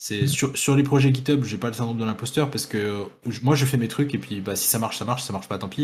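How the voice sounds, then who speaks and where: A man's somewhat breathy voice at a medium pitch, very fast pace and ordinary pitch variation. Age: 20s. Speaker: cybersecurity researcher. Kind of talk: casual chat.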